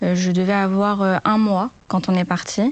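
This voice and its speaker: Here is a woman's voice. It has a medium pitch for a woman. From France (Rouen, Normandy) and Morocco. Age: 20s. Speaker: HR talent recruiter. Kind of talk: podcast interview. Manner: hesitant with frequent fillers.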